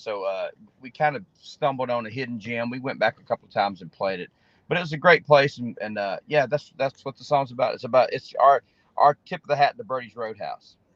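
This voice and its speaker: A man with an Alabama accent talks at a fairly quick pace and a medium pitch. His intonation is lively, and the sound is dry and close with no echo. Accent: Southern US (Alabama). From Alabama (Opelika), US South. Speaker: singer-songwriter. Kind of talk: interview. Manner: halting.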